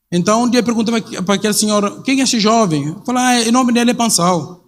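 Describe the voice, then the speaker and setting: Ordinary pitch variation from a man, set in audible room echo. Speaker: missionary pastor. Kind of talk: sermon. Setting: church. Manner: halting.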